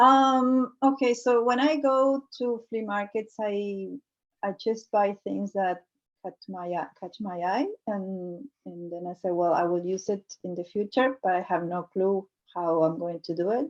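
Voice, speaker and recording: Speaking at a fairly slow pace, a woman with a Spanish accent keeps a medium pitch and ordinary pitch variation. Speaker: multidisciplinary artist. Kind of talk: artist talk presenting work. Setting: video call. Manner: halting, many fillers.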